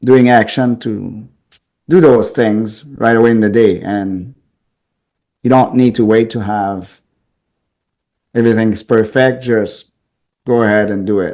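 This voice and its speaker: A man speaks at a fairly slow pace in a strong Quebec accent, his medium-pitched voice dark and mellow, his intonation fairly even, with long, frequent pauses. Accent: thick French Canadian. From Quebec City, French Canada. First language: French. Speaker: pest control business owner. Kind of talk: interview.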